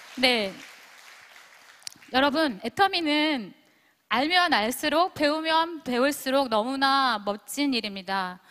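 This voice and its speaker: A woman speaks at a very slow pace with long, frequent pauses, her high voice bright and sharp in tone and her intonation lively. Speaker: former teacher and direct-sales business leader. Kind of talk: motivational speech to audience.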